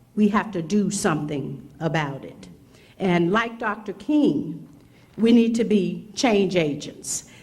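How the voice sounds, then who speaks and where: The speech is very slow and somewhat breathy, with lively intonation. Audible room echo surrounds it. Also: woman, medium pitch for a woman. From Mississippi. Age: 60s. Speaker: prosecutor, keynote speaker.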